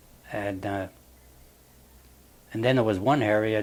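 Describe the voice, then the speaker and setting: A man with a Western Pennsylvania accent and a fairly low voice. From Wilmerding, Pennsylvania. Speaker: war veteran. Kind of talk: interview answer.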